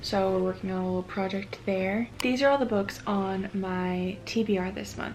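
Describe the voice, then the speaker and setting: A woman talks in an ordinary speaking voice at a medium pitch and a moderate pace. Her intonation is fairly even, with hardly any pauses. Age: 20s. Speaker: book content creator. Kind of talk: casual vlog talk to camera.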